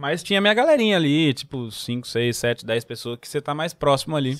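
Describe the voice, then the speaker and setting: A man's voice at a medium pitch. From São Paulo, Brazil, moved to Recife at 15. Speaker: comedian. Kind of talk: casual chat.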